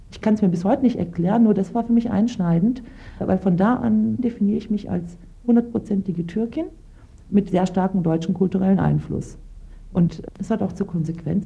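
Speaking at a fairly quick pace, a woman uses a normal speaking voice with medium pitch and ordinary pitch variation. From Lower Saxony, Germany, Turkish family. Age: 30s. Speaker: lawyer. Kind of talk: interview testimony.

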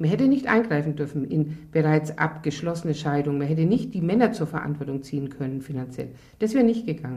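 Very fast and somewhat breathy, a woman's voice sits at a very deep, low pitch with a dark, mellow tone and lively intonation. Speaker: affected divorced woman. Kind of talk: interview testimony.

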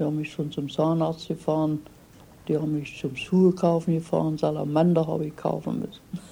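Dark, mellow tone with vocal fry, fairly quick and monotone, flat in intonation. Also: woman, very deep, low pitch for a woman. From Germany. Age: 80s+. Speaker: retired immigrant. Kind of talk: interview.

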